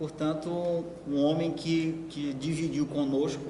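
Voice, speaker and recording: A man's monotone, flat delivery at a fairly slow pace, with audible room echo and noticeable background noise. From Maranhão, Brazil. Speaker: writer and lecturer. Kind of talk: lecture. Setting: university lecture hall with audience. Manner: halting, repeats words.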